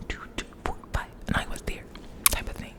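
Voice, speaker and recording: A woman's whisper against noticeable background noise. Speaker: ASMR creator. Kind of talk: ASMR storytime. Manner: whispered, soft.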